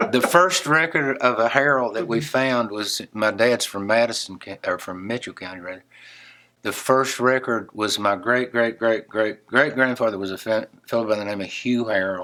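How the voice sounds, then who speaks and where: In an Appalachian accent, a man speaks at a moderate pace with a bright, sharp tone, medium pitch and ordinary pitch variation in a very clean recording with a silent background. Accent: Appalachian Southern US. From western North Carolina. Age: 70s. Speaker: songwriter and guitarist. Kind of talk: interview. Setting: guitar store.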